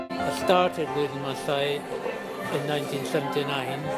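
A man's voice, dry with no echo, over loud music in the background. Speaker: retired social worker. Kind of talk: interview answer. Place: home room. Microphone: phone near.

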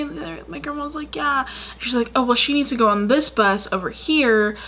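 A woman speaks at a fairly quick pace. Her intonation is lively. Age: 20s. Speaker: YouTuber. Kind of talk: casual vlog storytelling. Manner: rambling with many fillers. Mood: amused, storytelling. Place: home room.

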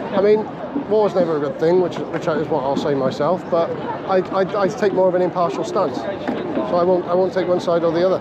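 Speaking with a Welsh accent at a fairly quick pace, a high-pitched man keeps his loudness very even and shows ordinary pitch variation, in a dry sound with no echo against loud background noise. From Wales. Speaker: YouTuber filming protests. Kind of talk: live vlog narration. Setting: outdoors at street protest. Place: street. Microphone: phone near.

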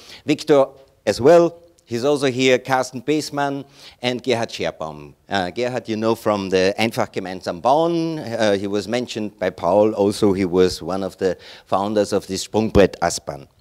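With a German accent, a man speaks at a moderate pace and medium pitch. His intonation is lively, and the background is quiet. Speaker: chairman of a straw bale building network. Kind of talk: conference presentation. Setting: stage with audience. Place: hall.

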